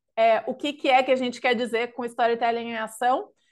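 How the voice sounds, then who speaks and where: A woman with a southern Brazilian accent speaks fairly quickly at a high pitch, with fairly even intonation, against a quiet background. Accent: gaúcho Brazilian Portuguese. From southern Brazil (Rio Grande do Sul). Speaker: consultancy knowledge lead, webinar presenter. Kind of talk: webinar presentation. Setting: live online webinar.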